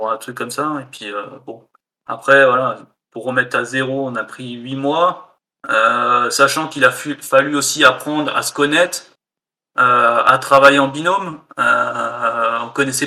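A man with an ordinary speaking voice talks at a fairly slow pace with fairly even intonation. His loudness swings widely. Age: 30s. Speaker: indie game developer. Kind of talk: casual interview.

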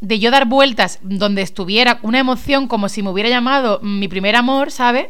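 An animated woman speaks at a fairly quick pace with hardly any pauses, fairly high pitch and ordinary pitch variation. Audible room echo and noticeable background noise surround her. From Spain, Málaga. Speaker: radio host. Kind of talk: casual chat.

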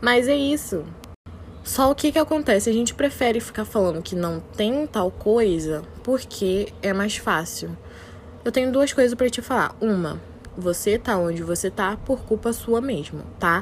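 Lively intonation marks a woman's fairly high-pitched delivery. She has a normal speaking voice and a fairly slow pace. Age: 20s. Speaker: podcaster. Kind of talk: motivational monologue.

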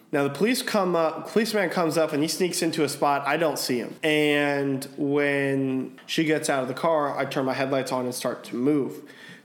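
A man with a fairly high pitch talks at a moderate pace with an animated tone and ordinary pitch variation. He hardly pauses, over noticeable background noise. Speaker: podcast host. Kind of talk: casual chat.

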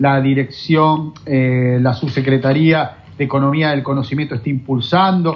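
A man speaks in a somewhat breathy voice. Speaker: radio host. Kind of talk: interview.

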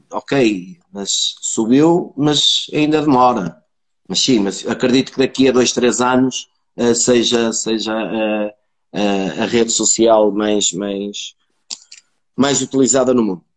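Speaking very slowly, a man keeps to a medium pitch, and his pitch varies in an ordinary way. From northern Portugal, Braga area. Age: 40s. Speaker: sales professional. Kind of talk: casual interview chat. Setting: video call livestream.

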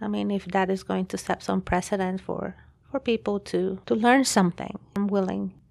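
At a moderate pace, a woman with a Spanish accent speaks on a very clean recording with a silent background. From Guatemala. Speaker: pastor and teacher. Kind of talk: testimony. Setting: studio.

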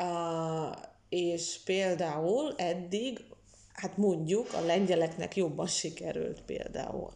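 A woman speaks at a very slow pace in a fairly low, dark and mellow voice with ordinary pitch variation. Audible room echo surrounds her. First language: Russian (speaking Hungarian). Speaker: literary historian and translator. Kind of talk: interview. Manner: halting, many fillers.

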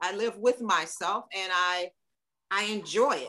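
Her tone bright and sharp, a woman speaks in an animated tone with lively intonation. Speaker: guest, musician and speaker on race. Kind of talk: casual conversation interview. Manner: animated, lively.

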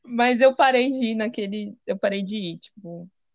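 A woman speaks at a medium pitch with ordinary pitch variation. The sound is dry and close with no echo, over a quiet background. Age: 20s. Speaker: visual artist sharing testimony. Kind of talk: testimony. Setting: video call.

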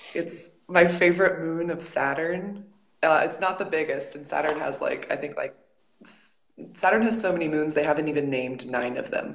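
A woman with an American accent and an ordinary speaking voice, fairly low in pitch, with ordinary pitch variation at a moderate pace. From United States. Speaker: professional volleyball player. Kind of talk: casual interview.

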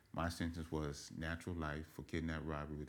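A man's very deep, low voice in an American accent, fairly quick and monotone, with flat intonation and vocal fry. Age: 40s. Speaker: formerly incarcerated man. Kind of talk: interview.

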